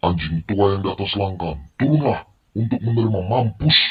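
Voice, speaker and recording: Loud and booming, a man performs a put-on character voice at a fairly low pitch and a moderate pace. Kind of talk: radio drama. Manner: shouting, angry.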